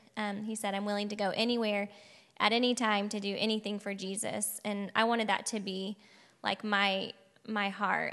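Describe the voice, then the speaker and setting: In an American accent, a woman speaks at a moderate pace in a medium pitch with monotone, flat intonation. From Oklahoma, Piedmont. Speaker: missionary. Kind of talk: testimony.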